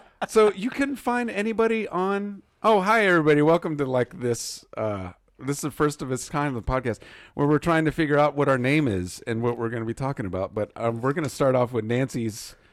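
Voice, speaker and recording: Speaking at a fairly quick pace, a man with a fairly high pitch makes very wide pitch swings on a very clean recording with a silent background. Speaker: podcast host and arcade owner. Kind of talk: casual chat.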